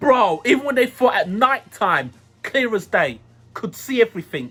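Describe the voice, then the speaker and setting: Over background music, a man projects a raised, extremely high-pitched voice at a moderate pace, animated in tone and lively in intonation. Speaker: youtube movie reviewer. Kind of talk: casual movie review monologue.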